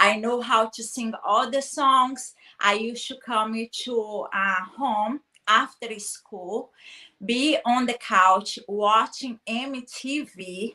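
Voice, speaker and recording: A woman's very slow, bright and sharp voice with a Brazilian accent, fairly high pitch and fairly even intonation. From Brazil, small town. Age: 30s. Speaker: guest speaker on personal development. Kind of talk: interview chat.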